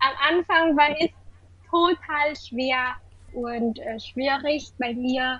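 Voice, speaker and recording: With a Vietnamese accent, a woman speaks very slowly at a high pitch, leaving long, frequent pauses and using ordinary pitch variation. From Vietnam, Hanoi. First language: Vietnamese (speaking German). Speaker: university student of German. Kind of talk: casual interview; reading aloud. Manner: halting.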